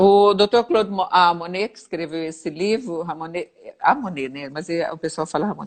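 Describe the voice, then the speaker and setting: Speaking at a moderate pace, a woman with a fairly low pitch and ordinary pitch variation shows big swings in loudness. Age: 60s. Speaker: physiotherapist. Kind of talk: interview. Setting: livestream. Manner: halting.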